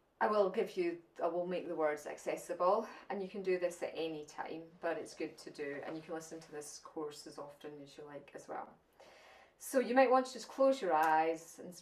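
Speaking at a moderate pace with a Scottish accent, a woman uses a fairly low pitch and lively intonation. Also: big swings in loudness. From Scotland. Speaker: spiritual channeler and teacher. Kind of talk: channelled spiritual talk at an online summit. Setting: online summit presentation.

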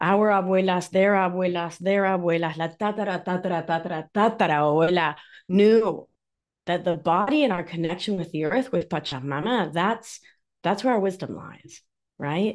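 A woman's animated, medium-pitched voice with an Argentine accent at a moderate pace, over a quiet background. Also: ordinary pitch variation. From Argentina, Mar del Plata. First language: Spanish. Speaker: nurse practitioner and somatic life coach. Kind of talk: interview conversation.

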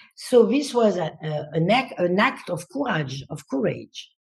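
Her voice is fairly low and somewhat breathy. The woman speaks very slowly. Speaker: dancer and choreographer. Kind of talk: interview conversation.

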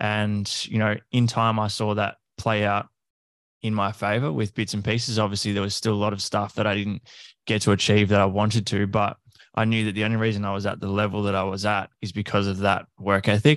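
A man with an Australian accent talks at a fairly quick pace, his fairly low voice flat and monotone. The recording is very clean with a silent background. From Australia, country Victoria. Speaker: fitness coach. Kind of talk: casual interview chat.

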